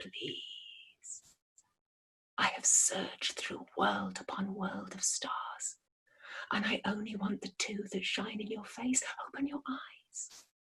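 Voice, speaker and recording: Whispering, a woman uses a raspy, put-on character voice. Her pace is fairly slow. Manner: whispered, pleading.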